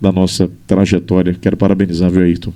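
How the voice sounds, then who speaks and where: A man's booming voice, dark and mellow in tone, rushes along at a very fast pace. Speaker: journalist and radio broadcaster. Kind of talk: interview conversation.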